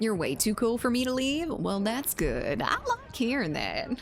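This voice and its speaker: Someone with a Southern US accent speaks over noticeable background noise. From Zimbabwe. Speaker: gaming streamer. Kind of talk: live gameplay stream chat. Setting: live stream reading chat. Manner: casual, halting with fillers.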